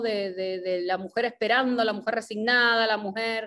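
Fairly even intonation comes through over a quiet background. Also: woman. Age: 40s. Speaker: actress and theatre director; actress. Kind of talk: interview conversation. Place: home room. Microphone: video call.

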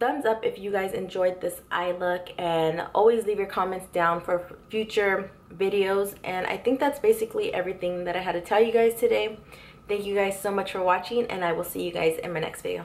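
Keeping her intonation fairly even, a woman moves at a fairly quick pace. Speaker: beauty vlogger. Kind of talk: casual vlog chat and makeup tutorial. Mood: warm, grateful. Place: home room. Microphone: camera far.

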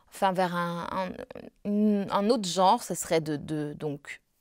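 A woman speaks with a fairly low pitch and a dark, mellow tone. The sound is dry, with no echo, over a quiet background. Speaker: opera singer; interviewee. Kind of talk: interview. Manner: halting. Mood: calm, reflective. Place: home room.

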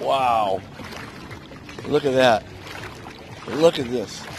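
A man at medium pitch, talking at a very slow pace with ordinary pitch variation over faint background noise

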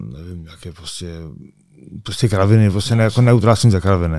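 A man's dark, mellow tone comes through with fairly even intonation in a very clean recording with a silent background. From Czechia, Karviná. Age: 30s. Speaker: MMA fighter. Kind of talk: interview, casual chat. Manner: halting.

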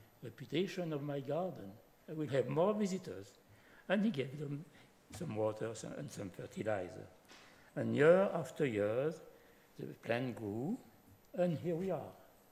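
A man speaks fairly slowly with long, frequent pauses, somewhat breathy. His dark, mellow tone moves in very wide pitch swings. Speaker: speaker. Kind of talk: lecture. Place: hall. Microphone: podium.

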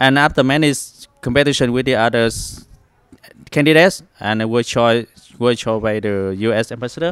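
Speaking with a Vietnamese accent at a medium pitch, a man keeps a moderate pace with long, frequent pauses and ordinary pitch variation. The sound is dry with no echo, over a quiet background. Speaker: culinary teacher. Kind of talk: interview. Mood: happy, modest. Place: hall. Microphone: handheld.

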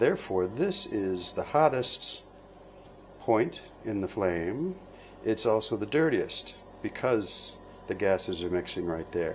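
The speaker has an American accent and talks at a fairly slow pace with long, frequent pauses and very wide pitch swings over light background noise. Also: man. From United States. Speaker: glass bead maker and instructor. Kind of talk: tutorial. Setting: studio at the torch. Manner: halting, many fillers. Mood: playful, relaxed. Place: workshop.

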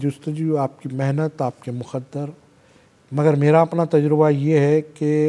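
A man's fairly high-pitched voice, dark and mellow in tone, at a fairly slow pace with monotone, flat intonation. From India. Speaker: comedian and actor; comedian guest. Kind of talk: interview. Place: studio. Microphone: lapel.

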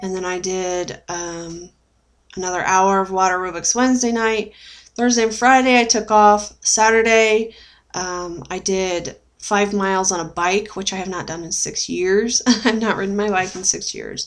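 At a moderate pace, a woman talks with fairly even intonation. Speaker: weight-loss surgery vlogger. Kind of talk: casual vlog chat. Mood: puzzled, mildly frustrated. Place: home room. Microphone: webcam.

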